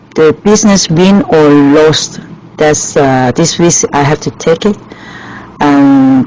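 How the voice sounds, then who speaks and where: Noticeable background noise sits behind a woman with a very deep, low pitch. She speaks at a very slow pace with lively intonation. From Hong Kong. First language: Chinese. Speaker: restaurant owner. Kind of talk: interview. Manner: halting.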